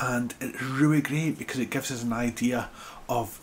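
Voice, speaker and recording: With noticeable noise in the background, a man talks in a fairly even intonation. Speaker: ecologist and wildlife educator. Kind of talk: informal educational talk. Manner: hesitant, many fillers.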